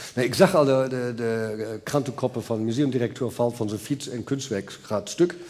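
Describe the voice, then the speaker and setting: A man speaks at a moderate pace with hardly any pauses. His pitch varies in an ordinary way. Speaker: museum director. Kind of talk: interview. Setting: stage with audience. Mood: relaxed, explaining with gestures. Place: stage. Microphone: headset.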